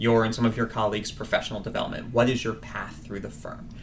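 Against noticeable background noise, a man talks at a medium pitch. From Washington, D.C. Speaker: recruiting manager. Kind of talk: casual interview.

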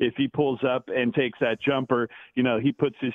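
Speaking in an American accent, a man holds a medium pitch with monotone, flat intonation. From US West Coast, Bay Area. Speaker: sports radio host. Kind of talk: casual interview.

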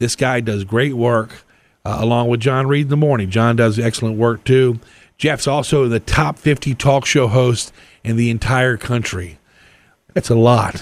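In an unremarkable speaking voice, a man talks at a fairly slow pace, his medium pitch held in fairly even intonation. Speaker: radio host. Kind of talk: casual radio talk show. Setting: studio.

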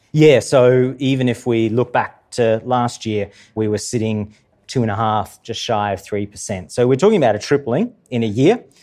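A man with an Australian accent, medium in pitch, dark and mellow in tone, moderate in pace, with ordinary pitch variation. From Queensland, Australia. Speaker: transport engineer and policy head. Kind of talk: live interview before audience. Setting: stage with live audience in museum.

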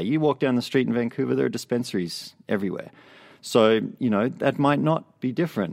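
A man with an Australian accent, a medium pitch, a fairly quick pace and very wide pitch swings. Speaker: TV news assignment editor. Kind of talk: casual interview chat. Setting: studio.

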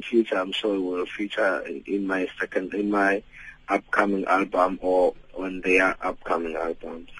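A man with a South African accent. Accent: South African English, Xhosa-accented. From Eastern Cape, South Africa. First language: Xhosa. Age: 30s. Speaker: gospel singer. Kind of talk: radio interview. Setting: phone call.

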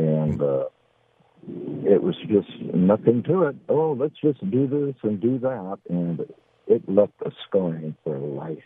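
Very slow and full of long, frequent pauses, a man's fairly low voice moves in very wide pitch swings. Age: 70s. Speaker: caller. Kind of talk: call-in chat. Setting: phone call. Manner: halting.

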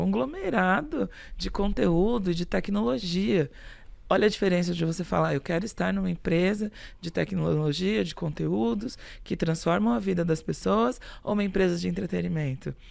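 The recording is very clean and the background is silent. The speech runs at a moderate pace. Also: woman. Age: 40s. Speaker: human resources executive. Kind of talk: interview. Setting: studio.

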